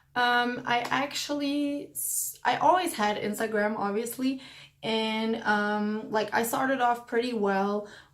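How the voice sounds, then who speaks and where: With a non-native accent, a woman talks at a fairly slow pace and fairly high pitch, with ordinary pitch variation and audible room echo. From Belgium. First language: not English. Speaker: lifestyle vlogger. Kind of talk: casual Q&A vlog.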